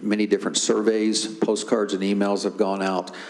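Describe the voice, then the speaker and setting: With an American accent, a man speaks in a fairly low, monotone, flat voice at a moderate pace over noticeable background noise. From Tennessee. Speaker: school district planning staff presenter. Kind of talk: board meeting presentation. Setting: public board meeting.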